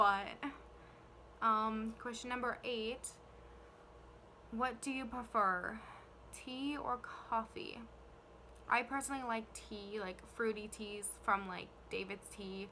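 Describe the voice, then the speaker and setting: A woman with a fairly high voice speaks very slowly in a Canadian accent, with fairly even intonation. Her long, frequent pauses sit over noticeable background noise. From Canada, New Brunswick. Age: 20s. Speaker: YouTuber, care worker. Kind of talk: casual vlog Q&A. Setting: filming on camera. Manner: hesitant, many fillers.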